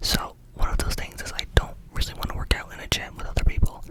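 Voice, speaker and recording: A woman whispers at a fairly quick pace. Noticeable background noise sits behind her. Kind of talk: ASMR whispered ramble. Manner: whispered, fast-paced, casual rambling with filler words.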